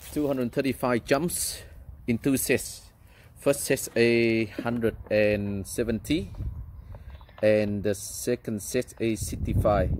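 Speaking at a very slow pace with long, frequent pauses, a man shows ordinary pitch variation in a dry sound with no echo over light background noise. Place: garden.

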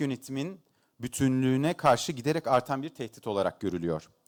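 A man speaks at a moderate pace and medium pitch, his voice swinging very widely in pitch. The sound is dry and close with no echo, on a very clean recording with a silent background. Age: 40s. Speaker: economist. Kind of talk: conference keynote speech. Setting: stage with audience. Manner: hesitant with frequent filler sounds.

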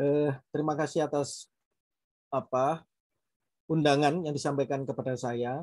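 A man with a fairly high voice speaks at a fairly slow pace in a flat monotone, leaving long, frequent pauses, with a dry, echo-free sound over a quiet background. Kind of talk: panel talk. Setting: video call. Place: home room. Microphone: video call.

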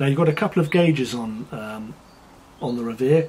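Light background noise accompanies a man. He speaks at a moderate pace with ordinary pitch variation. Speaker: product reviewer. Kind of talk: product review commentary. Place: garden.

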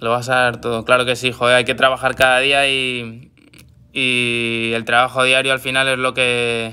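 Speaking at a moderate pace, a man holds a flat, monotone intonation. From Madrid, Spain; Spain. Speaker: footballer. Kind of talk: live social media chat. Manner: repetitive filler words. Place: home room. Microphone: phone near.

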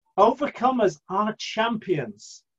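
A man's high-pitched voice against a quiet background. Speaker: church preacher. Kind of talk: sermon. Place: home room. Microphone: webcam.

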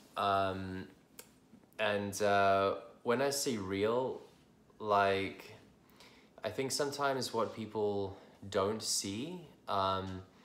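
Amid audible room echo, a man speaks very slowly in a fairly low voice with ordinary pitch variation, taking long, frequent pauses. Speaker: IBD coach. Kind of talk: casual talk to camera. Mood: candid, reflective. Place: home room. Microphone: phone near.

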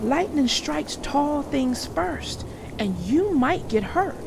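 A woman uses a put-on character voice, high-pitched with big pitch swings and vocal fry. She talks slowly over clear background noise.

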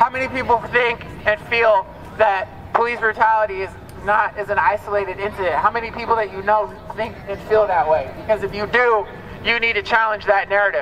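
A man with an American accent talks at a fairly quick pace. His pitch is high, and there is light background noise. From US. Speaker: rally speaker. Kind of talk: rally speech. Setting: outdoors protest. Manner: animated, emphatic, urgent; repetitive, rhetorical questions to crowd. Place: street. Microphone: camera far.

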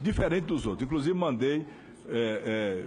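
Somewhat breathy and talking at a fairly quick pace, the speaker uses lively intonation over light background noise. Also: man. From Bahia, Brazil (sertão). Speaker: politician. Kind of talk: legislative speech. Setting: parliamentary hearing. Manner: formal. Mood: indignant. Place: meeting room. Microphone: podium.

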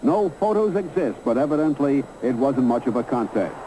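There is noticeable background noise as a man talks at a moderate pace with a fairly high pitch. His delivery has a dramatic tone and lively intonation. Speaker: documentary narrator. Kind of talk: sports documentary narration, scripted voiceover over archive photos and film. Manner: brisk, dramatic, newsreel-style delivery with punchy emphasis on fight action; formal, authoritative storytelling.

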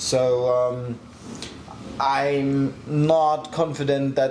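Man at a medium pitch with a German accent, monotone and flat, audible room echo and light background noise. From Germany. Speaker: motorsport tuning shop owner. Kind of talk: casual Q&A video. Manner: clear and not too fast. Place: workshop.

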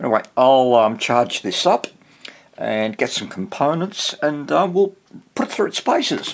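Fairly slow pace over light background noise. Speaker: hobbyist electronics reviewer. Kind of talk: unboxing commentary. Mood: relaxed, mildly amused. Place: workshop.

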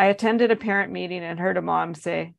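Unforced voice reading.

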